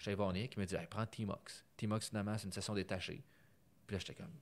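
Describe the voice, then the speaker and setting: A man with a Quebec accent and a fairly low pitch talks at a fairly quick pace, his pitch varying in an ordinary way while his loudness swings widely. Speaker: podcast host, data science. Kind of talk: casual interview. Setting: recorded in Montreal, not usual studio.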